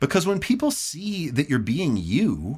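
A man with vocal fry speaks at a fairly slow pace in an animated tone, his pitch swinging very widely, in a very clean recording with a silent background. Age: 40s. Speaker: bass player and content creator. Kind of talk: casual chat.

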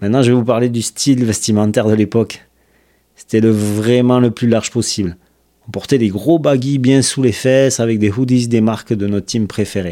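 This man's voice has a dark, mellow tone, medium pitch, fairly even intonation and a moderate pace. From southern France, Toulouse. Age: 40s. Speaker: podcast host, skateboarder. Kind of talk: scripted narration.

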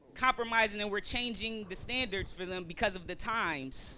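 A bright, sharp tone with lively intonation. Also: woman. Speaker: panelist. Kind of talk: heated panel debate.

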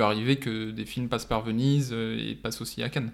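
Man's voice of medium pitch, moderate pace, and fairly even intonation. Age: 20s. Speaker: film student and assistant director. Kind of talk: casual chat.

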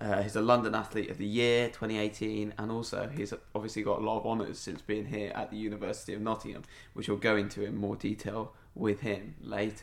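This man's fairly low voice carries vocal fry. He speaks at a fairly quick pace with monotone, flat intonation. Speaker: student podcast host. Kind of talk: casual interview; solo podcast intro.

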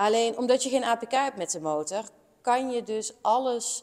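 This is a woman using a normal speaking voice. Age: 30s. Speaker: motorcycle mechanic and workshop teacher. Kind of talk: interview conversation.

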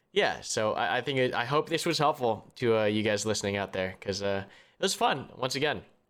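A man's normal speaking voice at a medium pitch, fairly quick and with lively intonation, in a very clean recording with a silent background. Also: hardly any pauses. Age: 20s. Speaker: podcast co-host and YouTube content creator. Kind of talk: casual chat.

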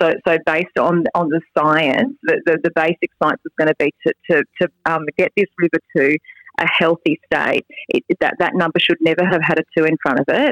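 Someone with an Australian accent speaks at a moderate pace with ordinary pitch variation. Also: woman, fairly low pitch for a woman. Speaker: state member of parliament. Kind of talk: casual interview. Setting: golf club boardroom. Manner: hesitant, with many fillers.

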